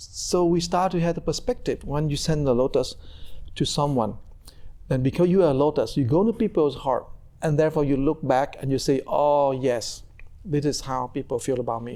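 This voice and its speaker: A man with a Vietnamese accent, a dark, mellow tone and a fairly high pitch, at a moderate pace with ordinary pitch variation. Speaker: Buddhist monk and meditation teacher. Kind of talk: conversational teaching interview.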